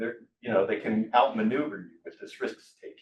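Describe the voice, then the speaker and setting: A man talks with an American accent at a moderate pace. His pitch swings very widely. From USA. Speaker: software entrepreneur and speaker. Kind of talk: talk to a live audience. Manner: casual, with frequent hesitations and repeated words.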